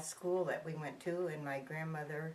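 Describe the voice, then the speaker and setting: A woman with an American accent speaks in a fairly low, monotone voice with flat intonation. Audible room echo surrounds her. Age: 80s+. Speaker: interviewee recalling the Depression. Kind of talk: oral history interview. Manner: halting.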